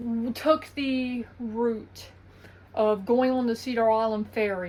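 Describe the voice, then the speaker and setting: Here a woman speaks in an Eastern North Carolina accent. Her pitch is fairly high. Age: 20s. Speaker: vlogger. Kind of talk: casual vlog monologue.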